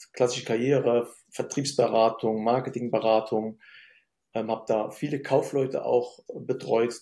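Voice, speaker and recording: A man's dark, mellow, medium-pitched voice in a flat monotone, at a moderate pace, on a very clean recording with a silent background. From Germany, Syrian-born. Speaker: business consultant. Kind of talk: interview conversation.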